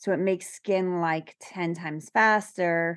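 Over a quiet background, a woman with an American accent uses a normal speaking voice, fairly low in pitch, with fairly even intonation. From New York. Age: 30s. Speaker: parent of a child with a rare skin condition. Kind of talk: interview.

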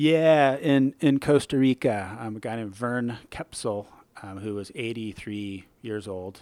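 A man talks at a medium pitch in an unremarkable speaking voice, with ordinary pitch variation. His loudness swings widely. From Southern California. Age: 50s. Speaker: circumnavigator and sailing writer. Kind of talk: interview. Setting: machine shop. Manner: casual with frequent fillers.

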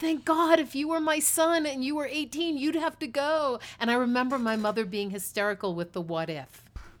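With an American accent, a woman speaks high-pitched at a fairly quick pace with hardly any pauses and very wide pitch swings on a very clean recording with a silent background. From US East Coast. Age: 50s. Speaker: podcast co-host. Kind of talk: casual chat.

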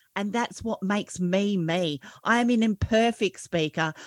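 A woman with an Australian accent, medium pitch, ordinary pitch variation, and a fairly slow pace, in a dry, close sound with no echo. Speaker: podcast coach. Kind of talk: interview. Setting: video call.

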